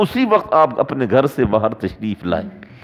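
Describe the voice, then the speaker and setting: Lively intonation at a fairly slow pace. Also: man. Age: 40s. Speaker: Islamic preacher. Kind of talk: sermon. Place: home room. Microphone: headset.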